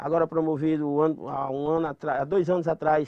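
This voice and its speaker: A man with a Rio Grande do Norte accent, flat and monotone in intonation. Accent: Northeastern Brazilian (Potiguar). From Mossoró, Rio Grande do Norte, Brazil. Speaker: cordel poet and popular culture master; former community radio announcer, actor. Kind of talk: interview answer.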